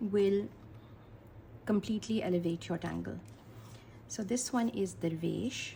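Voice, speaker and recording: A woman talks at a fairly slow pace, stopping for long, frequent pauses. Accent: Pakistani. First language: Urdu. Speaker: art teacher. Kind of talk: tutorial.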